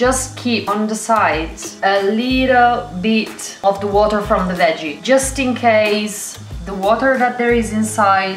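A woman's voice in a room with audible echo and clear music playing in the background. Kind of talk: cooking tutorial. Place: kitchen. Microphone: camera far.

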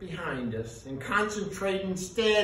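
Read aloud in a natural voice, the passage has lively intonation.

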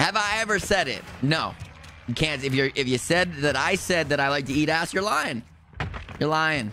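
In a New Jersey accent, a man speaks with a fairly high pitch, a bright, sharp tone and an animated delivery, with ordinary pitch variation and very even loudness. The sound is dry with no echo, over light background noise. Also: moderate pace. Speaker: video game streamer. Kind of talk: live gameplay stream chat. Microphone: studio mic.

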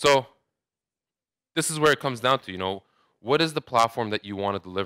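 The speaker goes at a very fast pace with lively intonation, a bright, sharp tone and long, frequent pauses. The background is quiet and the sound dry with no echo. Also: man, medium pitch for a man. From Saudi Arabia. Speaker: digital marketing manager; conference presenter. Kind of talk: conference talk. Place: hall.

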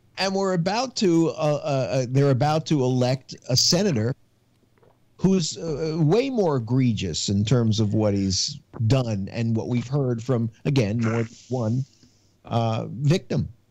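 A man with lively intonation at a very slow pace, the sound dry with no echo. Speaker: citizen panelist. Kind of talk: casual political discussion. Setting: video call. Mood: indignant. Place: home room. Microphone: video call.

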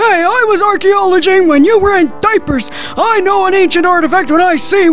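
The voice moves at a moderate pace over clear background noise. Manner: cranky, indignant.

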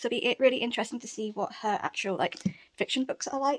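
A woman speaks at a very fast pace with a British accent. Her pitch is high, with ordinary pitch variation. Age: 30s. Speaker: book vlogger. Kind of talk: casual vlog chat. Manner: animated. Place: home room. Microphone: phone near.

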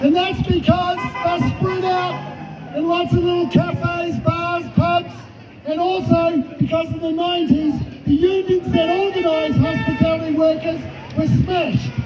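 Crowd noise fills the background. A man speaks at a fairly slow pace. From New Zealand. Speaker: trade union official. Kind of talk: rally speech, defiant protest address. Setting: outdoor rally with crowd. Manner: fiery and combative, punching repeated phrases for emphasis; mocking taunts aimed at opponents. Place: street. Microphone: handheld.

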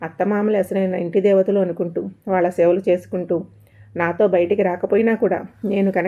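Simple, plain reading aloud.

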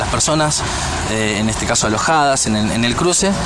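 A man at a moderate pace over background music, the sound dry with no echo. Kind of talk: interview answer. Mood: serious, formal. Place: street. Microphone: handheld.

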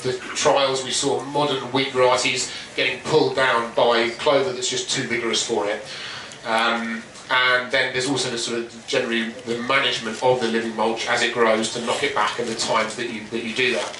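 A man speaks at a fairly quick pace with monotone, flat intonation. There is audible room echo and noticeable background noise. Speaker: presenter. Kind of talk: talk presentation. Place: tent.

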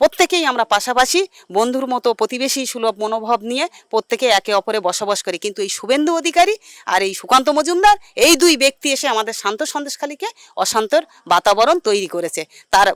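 A woman's high voice with very wide pitch swings, in a dry, close sound with no echo. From Sandeshkhali, West Bengal. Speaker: local resident. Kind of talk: street interview.

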